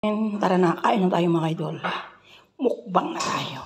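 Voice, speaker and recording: Speech moves at a fairly slow pace. Background noise is noticeable throughout. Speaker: overseas domestic worker vlogger. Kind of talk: mukbang vlog. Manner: quiet voice-over.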